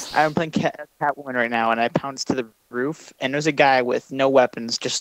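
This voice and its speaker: In a dry, close sound with no echo, a man with an unremarkable speaking voice talks at a fairly quick pace with hardly any pauses, his medium pitch held to fairly even intonation. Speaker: gaming video creator. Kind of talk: gameplay commentary, casual chat. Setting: online voice call. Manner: joking.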